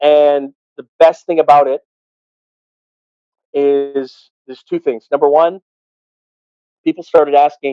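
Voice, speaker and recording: Here a man talks at a fairly high pitch and a moderate pace. The sound is dry and close, with no echo. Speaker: arena PA announcer and radio host. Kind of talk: casual interview answer.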